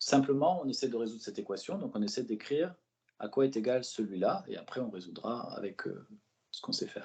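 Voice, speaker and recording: Lively in intonation and fairly quick in pace, a man speaks at a medium pitch with a dark, mellow tone. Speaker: math tutor. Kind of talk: tutoring lesson. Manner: fast; relaxed, encouraging.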